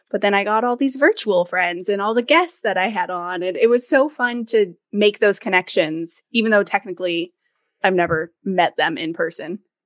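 A woman with an unremarkable speaking voice, medium pitch and ordinary pitch variation at a moderate pace, in a dry, close sound with no echo and a quiet background. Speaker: podcaster and business owner. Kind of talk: casual interview chat.

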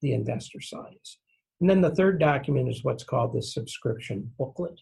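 With vocal fry and a dark, mellow tone, a man speaks at a medium pitch. He goes at a fairly quick pace with ordinary pitch variation. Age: 70s. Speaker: real estate securities attorney. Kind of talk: interview. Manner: folksy.

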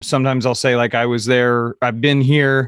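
A man speaks with an American accent in an ordinary speaking voice, at a medium pitch and moderate pace. The sound is dry and close with no echo. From US Midwest, Kansas City. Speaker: advertising creative director. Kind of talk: interview.

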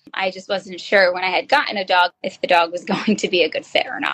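Here a woman with a New Jersey accent talks at a moderate pace in a medium pitch. The sound is dry and close, with no echo. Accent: New Jersey American. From northern New Jersey. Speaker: special education teacher. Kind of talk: interview.

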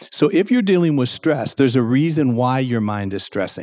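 Lively intonation from a man at medium pitch and a fairly quick pace. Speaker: clinical psychologist. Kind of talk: interview. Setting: live event venue.

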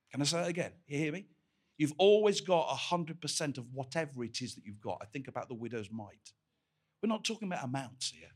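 A man's very fast, fairly high, warm voice with very wide pitch swings and big shifts in loudness. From Scottish Highlands. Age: 60s. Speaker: visiting preacher. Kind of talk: sermon. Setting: church. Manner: humorous, warm.

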